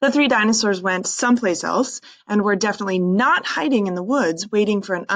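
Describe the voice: Pitch moves with ordinary variation. It is plain reading aloud.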